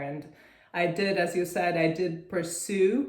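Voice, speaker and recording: There is audible room echo as a woman speaks with a Russian accent. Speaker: real estate syndicator. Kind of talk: interview. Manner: hesitant, many fillers.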